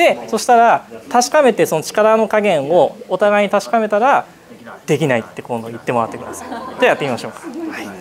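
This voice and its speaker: Loudness swings widely and pitch jumps across a very wide range, with crowd noise behind the voice. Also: man, high pitch for a man, fairly quick pace. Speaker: seminar instructor, manual therapist. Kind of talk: seminar demonstration with participants. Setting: seminar room with audience. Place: meeting room.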